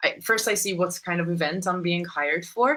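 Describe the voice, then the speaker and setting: This is a woman speaking. Her pitch is fairly low. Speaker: singer and voice teacher. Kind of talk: interview. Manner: halting.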